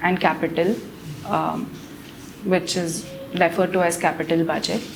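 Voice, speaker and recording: Over noticeable background noise and audible room echo, a woman talks at a moderate pace. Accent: Marathi. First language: Marathi. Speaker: civil services candidate. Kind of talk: mock job interview. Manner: formal; halting.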